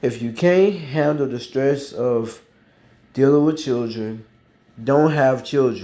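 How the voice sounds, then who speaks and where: A man with a dark, mellow tone talks at a medium pitch and a very slow pace, with ordinary pitch variation. Long, frequent pauses break his speech, and room echo is audible. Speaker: YouTube commentator. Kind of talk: casual commentary vlog. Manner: hesitant, many fillers.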